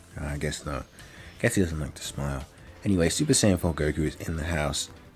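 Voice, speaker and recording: Music plays behind a man whose very deep, low voice runs at a fairly quick pace. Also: ordinary pitch variation. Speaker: gaming YouTuber. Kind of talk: gameplay commentary. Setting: home room, door closed. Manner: filler-heavy, hesitant.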